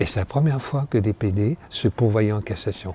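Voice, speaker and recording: A man talks at a fairly slow pace with a dark, mellow tone. His intonation is lively. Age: 70s. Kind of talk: interview testimony. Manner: hesitant, many fillers.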